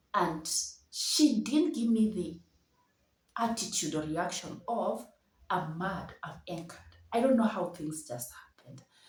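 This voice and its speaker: At a fairly slow pace, a woman talks in an animated tone, somewhat breathy, with very wide swings in pitch. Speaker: storyteller vlogger. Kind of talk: personal storytelling.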